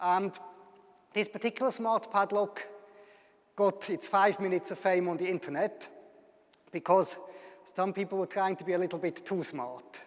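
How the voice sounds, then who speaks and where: A man with a Swiss German accent, high-pitched, at a moderate pace with ordinary pitch variation and long, frequent pauses. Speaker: university lecturer. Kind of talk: public lecture.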